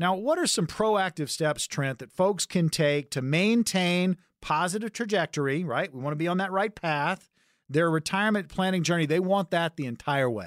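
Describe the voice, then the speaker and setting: At a moderate pace and a high pitch, a man talks with ordinary pitch variation in a dry, close sound with no echo. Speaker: radio host and consumer advocate. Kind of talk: sales pitch. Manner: urgent, punchy, repeating the phone number.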